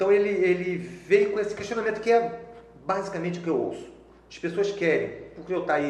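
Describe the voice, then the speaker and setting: A high-pitched man's fairly quick, lively speech with big swings in loudness, audible room echo and noticeable background noise. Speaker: software developer and trainer. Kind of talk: casual interview chat. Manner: fast.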